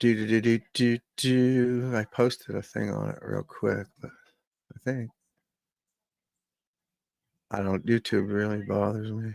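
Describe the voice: A man speaks fairly low and fairly slowly, with long, frequent pauses and lively intonation. His slightly mellow tone is croaky, with vocal fry.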